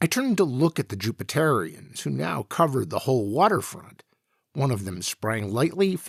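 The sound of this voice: Over a quiet background comes an unforced reading voice.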